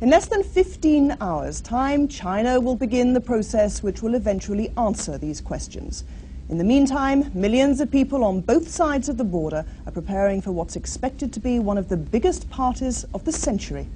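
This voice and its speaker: A woman talks at a medium speed while noticeable noise carries on behind her. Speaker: news presenter. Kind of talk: TV news read.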